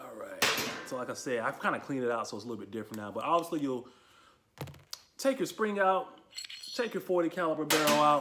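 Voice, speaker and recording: Over loud background noise, a man talks at a very fast pace with long, frequent pauses, a fairly high pitch and very wide pitch swings. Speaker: gun review youtuber. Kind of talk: product review. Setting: garage. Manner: casual. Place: garage. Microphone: phone near.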